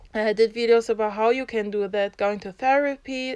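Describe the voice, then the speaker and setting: This speaker has a German accent and fairly even intonation. The pace is moderate. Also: woman. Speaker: YouTuber, social commentator. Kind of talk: vlog monologue. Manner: unscripted, halting with restarts; passionate.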